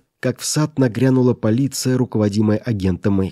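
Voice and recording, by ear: The text is read aloud in a natural voice.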